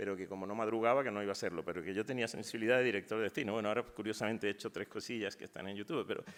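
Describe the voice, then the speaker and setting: A man talks at a very fast pace with hardly any pauses. His pitch is fairly low and his intonation fairly even. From Spain, Málaga. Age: 60s. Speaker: poet. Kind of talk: panel talk. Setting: university auditorium, panel discussion. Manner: hesitant, with fillers and false starts.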